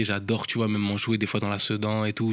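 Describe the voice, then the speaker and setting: Fairly low-pitched male speech, fairly quick and flat in a monotone, on a very clean recording with a silent background. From France, Paris suburbs and rural Normandy. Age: 20s. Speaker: professional dancer. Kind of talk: interview, casual chat. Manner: casual with filler words, slang.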